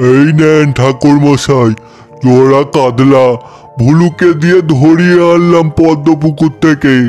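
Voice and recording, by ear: Doing a cartoonish character voice, a man speaks very slowly at a fairly high pitch with very even loudness, while clear music plays in the background.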